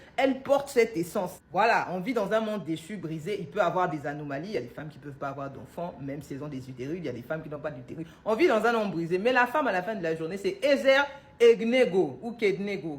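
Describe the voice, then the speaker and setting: Her pitch jumps around very widely. The woman talks fairly quickly. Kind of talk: religious teaching monologue. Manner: loud.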